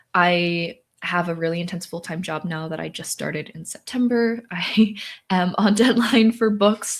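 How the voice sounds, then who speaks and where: At a moderate pace, a woman speaks at a fairly low pitch with ordinary pitch variation and big swings in loudness. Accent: American. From Southern California. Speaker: author and livestreamer. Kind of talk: casual livestream chat, reading comments. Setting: livestream from home-style setup. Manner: animated.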